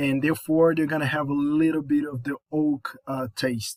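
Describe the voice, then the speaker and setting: The recording is very clean, with a silent background. The speaker has a Brazilian Portuguese accent and fairly even intonation. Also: man. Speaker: college student. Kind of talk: class presentation. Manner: halting, with fillers and repetitions.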